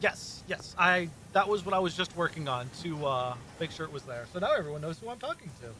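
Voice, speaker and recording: A man mumbles at a fairly quick pace, his pitch high and his intonation lively. Noticeable background noise runs underneath. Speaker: streamer. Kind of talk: casual chat. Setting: live stream. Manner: mumbling.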